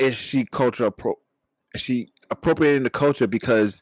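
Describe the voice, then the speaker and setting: A man with a New York accent speaks at a medium pitch and a fairly quick pace. The recording is very clean and dry, close with no echo, over a silent background. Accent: New York City. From Flatbush, Brooklyn, New York. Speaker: podcast host. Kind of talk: casual chat.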